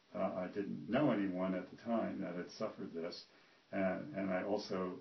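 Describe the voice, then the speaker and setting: With audible room echo, a man with a very deep, low pitch talks at a moderate pace. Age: 60s. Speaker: retired physician giving a patient testimonial. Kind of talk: testimony. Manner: halting, many fillers.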